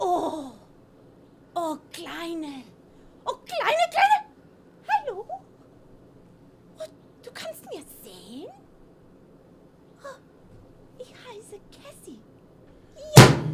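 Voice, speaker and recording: Putting on a character voice, a woman speaks with an extremely high pitch that swings very widely, at a very slow pace, with long, frequent pauses and big swings in loudness over clear background noise. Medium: comedy sketch.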